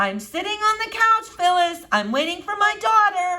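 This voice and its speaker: In a squeaky, put-on character voice, a woman speaks at a moderate pace with an extremely high pitch and lively intonation. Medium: read story. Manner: mild, sighing.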